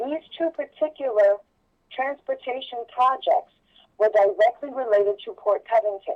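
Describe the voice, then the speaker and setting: At a moderate pace, a woman with an unremarkable speaking voice talks with lively intonation. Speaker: political candidate. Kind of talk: political interview.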